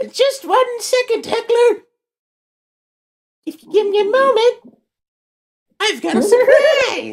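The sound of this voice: A put-on character voice speaks at an extremely high pitch. The pace is fairly slow, with long, frequent pauses.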